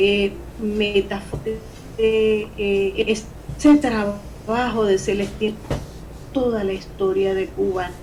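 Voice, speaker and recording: Over noticeable background noise and audible room echo, a woman speaks at a fairly high pitch and a very slow pace. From Venezuela. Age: 60s. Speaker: poet and novelist. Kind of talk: interview. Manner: halting.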